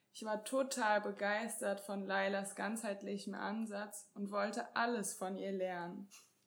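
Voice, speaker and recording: A woman talks at a medium pitch at a fairly slow pace, with hardly any pauses. It is a plain, everyday voice with fairly even intonation. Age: 20s. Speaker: co-host, couples and sex therapist. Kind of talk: self-introduction.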